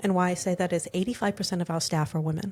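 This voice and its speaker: A woman's medium-pitched, somewhat breathy voice on a very clean recording with a silent background. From South Africa. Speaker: skincare company executive. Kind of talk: interview conversation.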